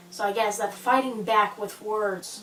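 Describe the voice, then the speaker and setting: A woman talks at a very slow pace amid noticeable background noise and audible room echo. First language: not English. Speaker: fanfiction author vlogger. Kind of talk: casual vlog monologue. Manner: quiet, soft-spoken; hesitant, filler-heavy.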